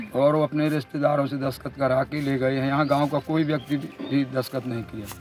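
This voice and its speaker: Over music in the background, a man speaks at a moderate pace in a fairly high pitch with monotone, flat intonation. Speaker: farmer. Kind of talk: news interview.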